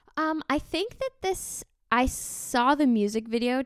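A woman's plain, everyday voice at a fairly slow pace with lively intonation, in a very clean recording with a silent background and a dry, close sound with no echo. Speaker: musician and podcaster. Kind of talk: casual chat.

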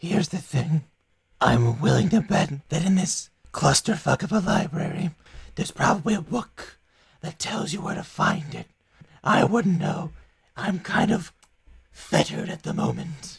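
A man puts on a high character voice, moving at a moderate pace with long, frequent pauses. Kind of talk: fantasy game character voice. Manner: smug, sly, sardonic.

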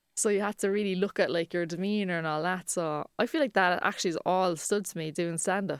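In a Cork accent, a woman with a medium pitch and fairly even intonation talks at a fairly quick pace with hardly any pauses. The recording is very clean, with a silent background and a dry, close sound with no echo. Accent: Cork Irish. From Ireland, Cork. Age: 20s. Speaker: comedian. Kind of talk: casual chat.

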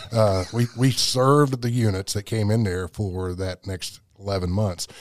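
On a very clean recording with a silent background and a dry, close sound with no echo, a man uses a normal speaking voice, fairly low in pitch with ordinary pitch variation. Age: 60s. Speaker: powerlifter and military veteran. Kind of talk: interview testimony.

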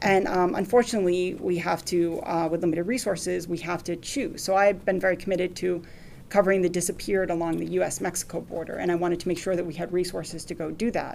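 A woman talks very fast with hardly any pauses, fairly low in pitch, with vocal fry. Her intonation is fairly even, and audible room echo surrounds her. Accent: American. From Lawrence, Massachusetts. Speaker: newspaper reporter. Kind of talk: lecture talk with Q&A. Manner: halting.

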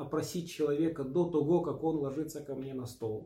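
A man's somewhat breathy, dark and mellow voice, fairly high in pitch, at a moderate pace with fairly even intonation. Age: 40s. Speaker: osteopath and body-practice trainer. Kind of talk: interview.

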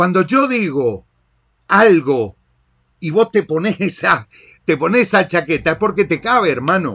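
On a very clean recording with a silent background, a man with a high pitch and a bright, sharp tone speaks fairly slowly in an animated tone, his intonation lively and his pauses long and frequent. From Argentina. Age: 40s. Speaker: podcast host, digital marketer. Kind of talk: monologue rant.

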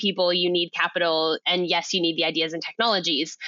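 Her pace is fairly quick, in a Californian accent. The woman's pitch is fairly low. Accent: Californian American. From California, US. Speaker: food systems consultant, CEO. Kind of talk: interview.

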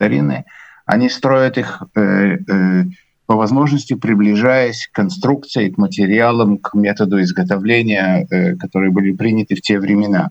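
In a dry, close sound with no echo, a man with an unremarkable speaking voice talks at a moderate pace and a fairly low pitch. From Latvia, Riga. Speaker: musician and conductor. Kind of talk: interview.

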